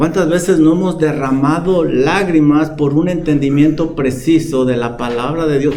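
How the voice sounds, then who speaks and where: A man speaks at a fairly slow pace with a fairly high pitch. There is noticeable background noise and an audible room echo. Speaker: pastor. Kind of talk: sermon. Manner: calm, not shouting.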